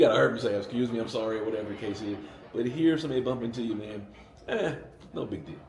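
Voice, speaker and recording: In a room with audible echo and noticeable background noise, a man with an American accent speaks very fast at a medium pitch with ordinary variation. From US South, Atlanta, Georgia. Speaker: American expat investor. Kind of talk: interview, casual chat. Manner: animated.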